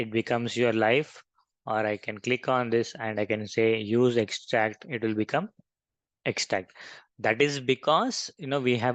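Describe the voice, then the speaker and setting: The speaker has an Indian accent and a moderate pace, with fairly even intonation. The sound is dry and close with no echo, over a quiet background. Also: man. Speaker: software trainer. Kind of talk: tutorial.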